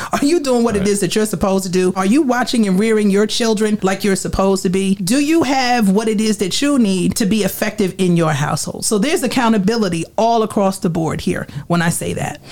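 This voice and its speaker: Medium in pitch with ordinary variation, a woman speaks in a New Jersey accent. She talks at a fairly quick pace with hardly any pauses, over noticeable background noise. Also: very even loudness. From Trenton, New Jersey. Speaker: city council candidate. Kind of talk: campaign speech.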